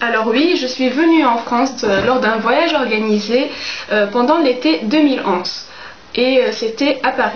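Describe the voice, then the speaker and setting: There is audible room echo and noticeable background noise as a woman with a high voice speaks at a fairly slow pace with lively intonation. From Tunisia. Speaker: book YouTuber. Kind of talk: casual Q&A vlog. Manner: hesitant, many fillers.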